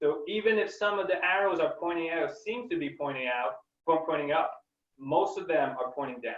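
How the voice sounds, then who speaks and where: A man with a French accent talks at a fairly quick pace. His voice is high-pitched, with lively intonation. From Quebec, Canada. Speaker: scientist. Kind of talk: webinar Q&A. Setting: online webinar. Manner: halting, many fillers.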